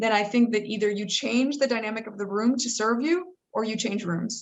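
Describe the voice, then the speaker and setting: A woman's fairly high, a plain, everyday voice, with an American accent, a moderate pace and ordinary pitch variation. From United States. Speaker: entrepreneur and author. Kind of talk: panel discussion.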